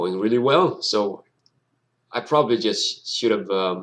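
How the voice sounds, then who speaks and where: A man talks with a Danish accent. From Denmark. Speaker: gaming YouTuber. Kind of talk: gameplay commentary. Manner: halting, many fillers and restarts.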